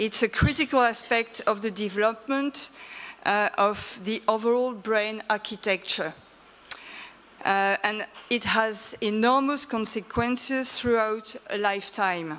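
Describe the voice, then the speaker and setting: A woman with a French accent speaks at a fairly slow pace and a fairly high pitch, her pitch varying in an ordinary way. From France. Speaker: early childhood association representative. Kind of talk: conference presentation. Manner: hesitant, many fillers.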